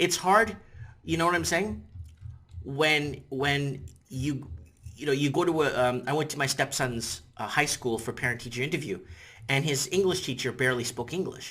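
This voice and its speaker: A man's fairly high, bright, sharp voice with vocal fry, lively intonation and a moderate pace. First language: Portuguese. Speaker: YouTuber commentator. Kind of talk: opinion commentary monologue. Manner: casual, repetitive with false starts.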